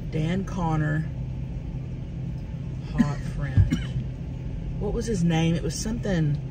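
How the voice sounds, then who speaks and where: Over loud background noise, the speech comes at a very slow pace in a dry sound with no echo. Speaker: vlogger. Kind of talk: casual vlog chat. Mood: playful, joking.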